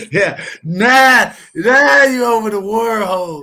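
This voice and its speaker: A man's high, raised, projected voice, bright and sharp, animated in tone, with very wide pitch swings. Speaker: sports podcast panelist. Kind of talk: heated casual debate. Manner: loud.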